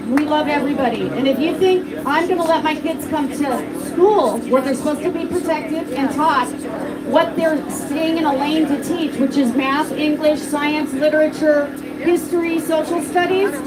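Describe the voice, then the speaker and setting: Loud speech at a moderate pace, fairly even in intonation, with audible room echo and noticeable background noise. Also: woman, high pitch for a woman. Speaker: parent speaking at a rally. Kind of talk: public speech at a rally.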